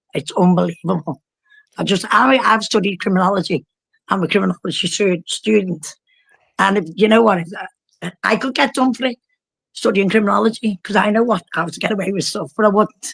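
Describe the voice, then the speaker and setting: Animated and with vocal fry, a woman speaks with a Liverpool accent and ordinary pitch variation in a dry, close sound with no echo. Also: medium pitch for a woman. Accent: Scouse (Liverpool). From northern England, Liverpool. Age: 60s. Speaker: caller. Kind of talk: casual chat.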